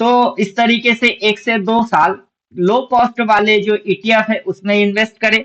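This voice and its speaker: With a Bengali accent, a man speaks at a high pitch with fairly even intonation. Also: very even loudness. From Bengal, India. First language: Bengali (speaking Hindi). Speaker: stock market trading educator. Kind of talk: tutorial. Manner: halting, self-correcting.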